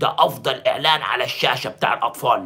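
This man speaks at a moderate pace with an Egyptian accent. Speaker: sports journalist and pundit; sports journalist, pundit. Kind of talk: video monologue commentary. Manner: animated. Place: home room. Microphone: phone near.

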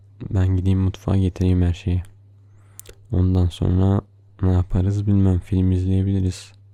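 A man speaks at a fairly slow pace with long, frequent pauses, his very deep voice dark and mellow, playful in tone yet monotone and flat in intonation, at a very even loudness. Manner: soft, slow, tender and affectionate, with playful laughs.

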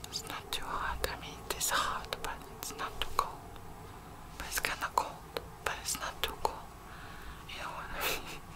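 Whispering in a gentle tone, a woman speaks at a moderate pace with long, frequent pauses. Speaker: ASMR artist. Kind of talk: ASMR personal attention roleplay, talking to the listener. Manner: soft, gentle, caring. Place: home room. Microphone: studio mic.

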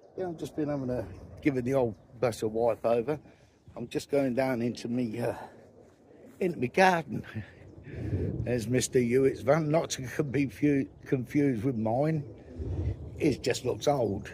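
A man speaks at a moderate pace in a somewhat breathy voice. He leaves long, frequent pauses over light background noise. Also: ordinary pitch variation, dry sound with no echo. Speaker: van life vlogger. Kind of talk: casual vlog chat. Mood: irritated rant then cheerful. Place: open country. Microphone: phone near.

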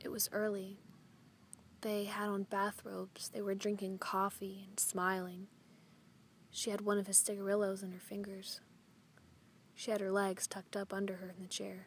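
Long pauses come often, though the talking itself keeps a moderate pace. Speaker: poetry reader. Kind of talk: poem read aloud over a slideshow, hushed somber narration of a violent scene. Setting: video voiceover.

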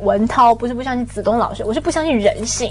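Very fast, lively intonation from a woman in a Taiwanese accent, faint music in the background. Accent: Taiwanese Mandarin. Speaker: talk show guest commentator. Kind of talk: casual panel chat. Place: studio.

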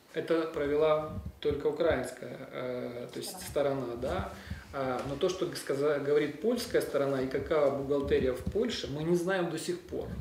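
Recorded with audible room echo and light background noise, a man with a fairly high voice speaks at a moderate pace. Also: ordinary pitch variation. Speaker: defense lawyer. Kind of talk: press conference statement. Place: office. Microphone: handheld.

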